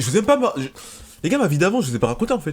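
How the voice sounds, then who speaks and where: Over noticeable background noise, a man talks at a very fast pace in an animated tone with lively intonation. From France, Seine-Saint-Denis (Paris suburbs). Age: 20s. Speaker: streamer. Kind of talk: casual storytelling. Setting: at home, parents' house. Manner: loud.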